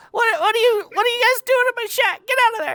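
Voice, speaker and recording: A put-on character voice, squeaky and extremely high in pitch, rattles along at a very fast pace. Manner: indignant, shouting.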